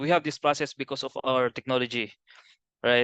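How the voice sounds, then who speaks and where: A man's monotone, flat delivery, dry and close with no echo. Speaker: BIM trainer. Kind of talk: webinar presentation. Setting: video call. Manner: halting.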